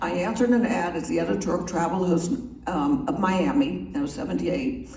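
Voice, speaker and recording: A woman with an American accent at a fairly quick pace, with audible room echo and noticeable background noise. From US Northeast. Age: 70s. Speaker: magazine publisher. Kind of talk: after-dinner talk. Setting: club meeting with audience. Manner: casual, chatty.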